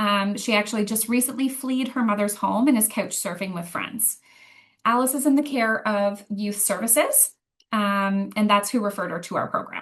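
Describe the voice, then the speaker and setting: This woman has a Canadian accent and a fairly high pitch, with ordinary pitch variation. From Ottawa, Ontario. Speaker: youth program coordinator. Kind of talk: presentation. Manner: fast.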